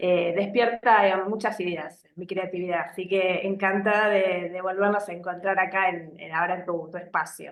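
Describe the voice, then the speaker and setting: Speaking at a fairly slow pace with an Argentine accent, a woman uses medium pitch and fairly even intonation. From Argentina. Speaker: psychologist. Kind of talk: live video interview. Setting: live stream. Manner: hesitant, many fillers.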